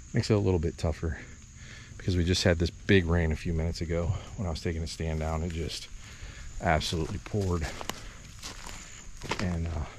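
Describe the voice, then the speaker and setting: Over noticeable background noise, a man with a very deep, low voice speaks very fast with fairly even intonation, yet leaves long, frequent pauses. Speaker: bowhunter and outdoor video host. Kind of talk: walk-and-talk hunting vlog. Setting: outdoors in timber on a bluff. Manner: whispering at times.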